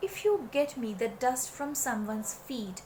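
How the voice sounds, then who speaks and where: This is a woman speaking in a high-pitched voice. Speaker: storyteller. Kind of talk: children's story narration.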